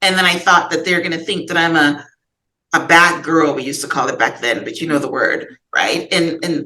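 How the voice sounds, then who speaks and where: At a moderate pace, a woman speaks in a bright, sharp tone at a fairly low pitch, her intonation fairly even. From Guyana. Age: 60s. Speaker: author and podcast guest. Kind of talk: therapy session conversation. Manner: halting.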